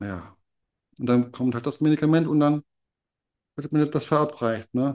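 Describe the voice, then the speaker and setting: The man's tone comes across as dark and mellow. His voice sits fairly high in pitch. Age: 40s. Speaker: cancer patient. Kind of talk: testimony. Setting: in person in a clinic. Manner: halting.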